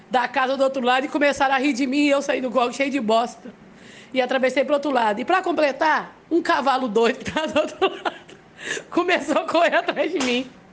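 A woman talks at a fairly quick pace in a high-pitched voice with an animated tone. Her pitch varies in an ordinary way. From Brazil, Belo Horizonte. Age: 30s. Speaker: listener sending a voice message. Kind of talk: personal story, voice message. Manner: animated, laughing while telling.

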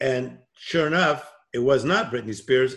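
Ordinary pitch variation marks this man's medium-pitched voice. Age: 50s. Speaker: motivational speaker and coach. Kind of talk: interview. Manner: calm.

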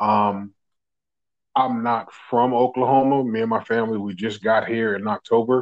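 A man speaks with an American accent at a moderate pace. His medium-pitched delivery is monotone and flat. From New Jersey. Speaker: delivery truck driver. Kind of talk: interview testimony. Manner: calm, hesitant.

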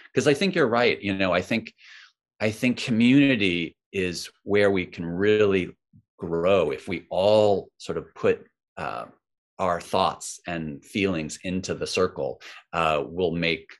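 A man speaks at a fairly slow pace in an ordinary speaking voice, his fairly low pitch moving with ordinary variation over a quiet background. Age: 50s. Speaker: mindfulness author and teacher. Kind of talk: casual interview chat.

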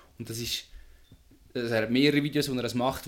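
The man's words come at a very fast pace. His intonation remains fairly even. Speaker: podcast host. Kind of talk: casual chat.

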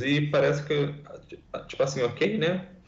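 Audible room echo carries a man's somewhat breathy voice as he speaks at a fairly slow pace. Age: 20s. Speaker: environmental scientist. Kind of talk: podcast interview.

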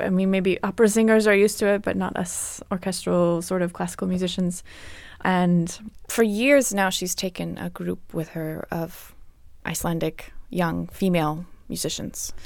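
In a very clean recording with a silent background, a woman with an unremarkable speaking voice talks at a moderate pace, her medium pitch and intonation fairly even. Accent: American. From US South, Atlanta, Georgia. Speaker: classical harpist. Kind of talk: interview. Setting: studio.

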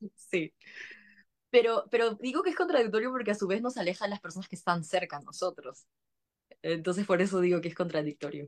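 With a Peruvian accent, a woman talks at a fairly quick pace with lively intonation, the sound dry and close with no echo. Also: medium pitch for a woman. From Peru, Lima. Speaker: communicator, trained teacher. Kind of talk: casual chat.

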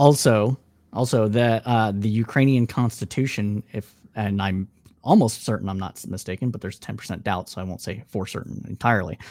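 A man with an American accent speaks at a fairly quick pace in a fairly low pitch. His is a plain, everyday voice with ordinary pitch variation. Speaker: political podcaster. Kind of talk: debate.

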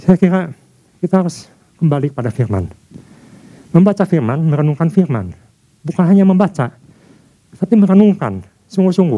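A man's high-pitched, dark, mellow voice at a fairly quick pace, with lively intonation and long, frequent pauses. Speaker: preacher. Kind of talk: sermon. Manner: formal; earnest, driven, preacher in full flow.

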